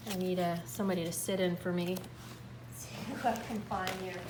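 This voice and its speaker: A woman at a medium pitch is heard with audible room echo over noticeable background noise. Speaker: music teacher. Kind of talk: tutorial. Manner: animated.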